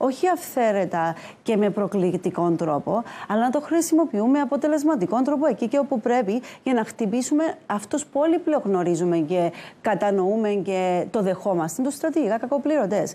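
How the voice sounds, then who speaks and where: Her tone is dark and mellow, with very even loudness and a moderate pace. The woman's fairly high pitch makes very wide swings. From Cyprus. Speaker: economist; politician guest on news show. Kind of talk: TV panel debate. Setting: TV studio. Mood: firm, argumentative. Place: studio. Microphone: lapel.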